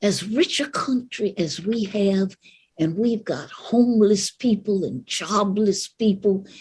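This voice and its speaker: A woman with an American accent speaks very slowly, at a medium pitch and with ordinary pitch variation. Her voice is somewhat breathy, broken by long, frequent pauses. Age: 80s+. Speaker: civil rights activist. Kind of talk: speech to live audience.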